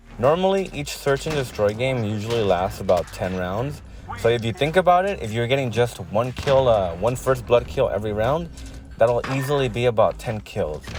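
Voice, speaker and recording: Over music in the background, a man speaks at a moderate pace in a medium pitch with lively intonation. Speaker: gaming youtuber. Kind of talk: tutorial. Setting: in a car. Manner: hesitant, many fillers. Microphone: backup mic, main mic broken.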